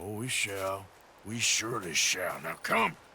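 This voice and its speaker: Using a raspy, put-on character voice at a fairly low pitch, a man speaks at a fairly slow pace with fairly even intonation over clear background noise. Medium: video game. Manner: terse, gruff.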